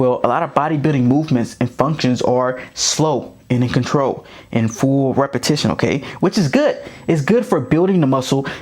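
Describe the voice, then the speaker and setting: Loudness stays very even throughout. The tone is animated, with ordinary pitch variation. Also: man, fairly high pitch for a man. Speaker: football coach and running back. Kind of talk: tutorial. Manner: fast.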